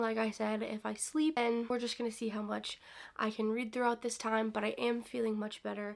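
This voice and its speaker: A woman speaks in a high pitch. Her pace is fairly quick. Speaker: book vlogger. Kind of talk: casual vlog talk to camera.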